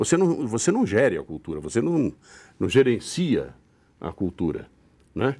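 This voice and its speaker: The recording is very clean, with a silent background. A man at a medium pitch speaks at a fairly slow pace with vocal fry. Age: 70s. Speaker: stage actor. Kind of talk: interview. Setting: studio. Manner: halting, with repetitions.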